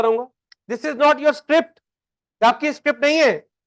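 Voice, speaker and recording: A loud man's voice with ordinary pitch variation. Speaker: accounting teacher. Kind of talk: lecture. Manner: animated.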